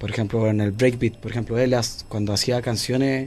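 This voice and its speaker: This man has a medium pitch, a dark, mellow tone and a Chilean accent. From Chile, Santiago (Renca). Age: 20s. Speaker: rapper. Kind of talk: interview. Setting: studio.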